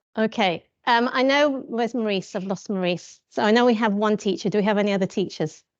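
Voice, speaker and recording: A woman speaks very fast in a fairly high voice, with hardly any pauses and ordinary pitch variation. The background is quiet. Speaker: teacher. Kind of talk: talk to a group. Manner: informal.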